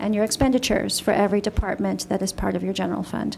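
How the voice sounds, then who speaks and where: A woman speaks softly. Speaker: city finance official. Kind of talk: budget presentation at council meeting. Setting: city council meeting room. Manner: soft-spoken. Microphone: echo in the room.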